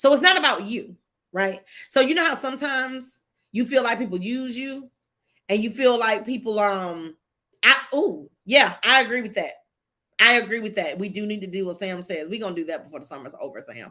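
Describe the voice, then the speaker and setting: A woman speaks at a fairly quick pace with a fairly high pitch, big swings in loudness, an animated tone, lively intonation and a bright, sharp tone. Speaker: livestream host. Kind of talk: casual livestream talk with faith testimony.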